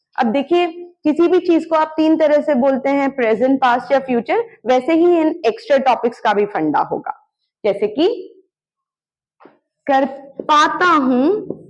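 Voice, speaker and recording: A woman speaks at a high pitch with lively intonation and very even loudness. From India, Arunachal Pradesh. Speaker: English teacher. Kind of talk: tutorial.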